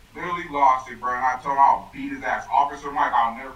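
Noticeable background noise runs under this recording. A man speaks over it at a fairly high pitch. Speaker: podcast co-host. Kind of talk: casual chat. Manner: animated.

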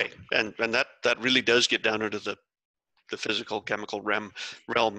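Over a quiet background, a man with an Ontario accent speaks at a moderate pace in a medium pitch, his tone bright and sharp and the sound dry and close with no echo. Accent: Ontario Canadian. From Bruce County, Ontario, Canada. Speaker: soil scientist and author. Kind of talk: explanatory interview.

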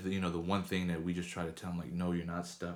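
Amid audible room echo, a man speaks in a very deep, low voice with a bright, sharp tone. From military family, moved around; Texas since 1996. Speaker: youth motivational speaker. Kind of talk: interview.

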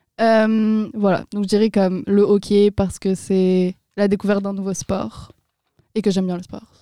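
Dark and mellow in tone, the voice stays monotone and flat at a fairly slow pace, with a dry, close sound and no echo on a very clean recording with a silent background. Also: woman, medium pitch for a woman. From France, Tours. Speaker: university student. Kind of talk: interview.

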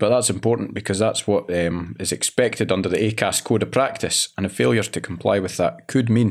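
On a very clean recording with a silent background, a man with a Scottish accent speaks at a fairly quick pace in a fairly low pitch. His tone is playful, with ordinary pitch variation. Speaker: employment lawyer. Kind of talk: casual professional chat with banter. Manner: joking, playful.

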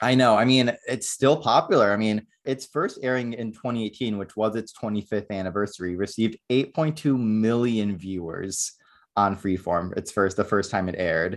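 With an American accent, a man speaks in an ordinary speaking voice at a fairly low pitch, keeping a moderate pace with ordinary pitch variation and hardly any pauses. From US Northeast. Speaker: podcast host. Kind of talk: casual chat.

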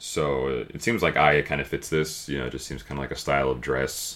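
A man's very deep, low voice with vocal fry, at a moderate pace with ordinary pitch variation. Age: 30s. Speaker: podcast co-host. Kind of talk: casual chat. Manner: animated.

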